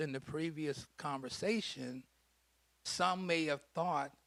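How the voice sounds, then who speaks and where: Captured in a very clean recording with a silent background, a man with an unremarkable speaking voice talks at a fairly slow pace, with fairly high pitch and ordinary pitch variation. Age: 60s. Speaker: prostate cancer survivor and health educator. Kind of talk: panel talk at a health event.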